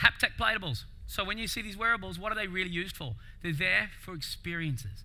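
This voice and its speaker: With audible room echo, a man speaks very fast in a high, bright, sharp voice with lively intonation. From Australia. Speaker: keynote speaker. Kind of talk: conference keynote talk. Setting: stage with audience. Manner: animated, casual.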